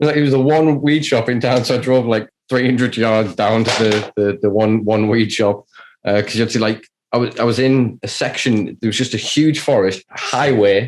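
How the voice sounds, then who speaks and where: With a British accent, a man talks at a moderate pace in a medium-pitched voice with fairly even intonation. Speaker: cannabis enthusiast podcaster. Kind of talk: casual chat.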